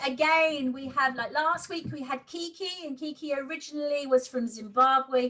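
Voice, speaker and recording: A raised, projected voice at a moderate pace, with hardly any pauses and big swings in loudness. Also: woman. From Essex, England. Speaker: interviewer. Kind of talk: interview. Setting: video call.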